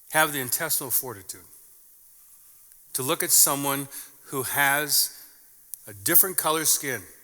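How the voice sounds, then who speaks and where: With an Upper Midwest accent and a bright, sharp tone, a man speaks at a fairly slow pace and a medium pitch with ordinary pitch variation in a very clean recording with a silent background. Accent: Upper Midwest American. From southern Minnesota, US Midwest. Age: 50s. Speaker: pastor. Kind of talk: sermon.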